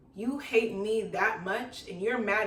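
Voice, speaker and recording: The recording has audible room echo and noticeable background noise. Through it, a woman speaks with a fairly high pitch. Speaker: YouTuber, storytime vlogger. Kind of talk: casual storytime vlog.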